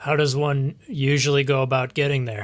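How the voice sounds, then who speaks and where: In a put-on character voice, the speaker talks at a moderate pace with fairly even intonation. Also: man. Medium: actual play. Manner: polite, formal, chipper.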